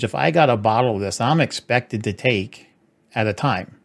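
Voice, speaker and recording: With lively intonation, a man speaks in an ordinary speaking voice. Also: very clean recording, silent background. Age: 40s. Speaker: channel host. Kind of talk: casual interview. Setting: live stream.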